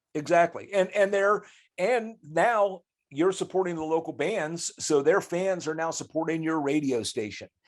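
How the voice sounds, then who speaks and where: On a very clean recording with a silent background, a man with an American accent speaks at a high pitch and a moderate pace, with ordinary pitch variation. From US Midwest, Grove City, Ohio. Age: 60s. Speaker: rock guitarist. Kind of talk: podcast interview. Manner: halting, frequent restarts.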